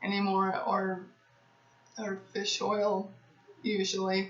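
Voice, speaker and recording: Noticeable background noise accompanies a woman speaking very slowly in a medium pitch. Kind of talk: casual talk to camera, Q&A. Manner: stuttering.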